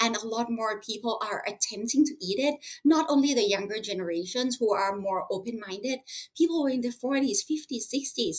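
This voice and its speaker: In a Thai accent, a woman with a fairly high pitch speaks at a moderate pace with lively intonation. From Thailand. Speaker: school owner and plant-based advocate. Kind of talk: interview. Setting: remote call. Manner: halting, with fillers.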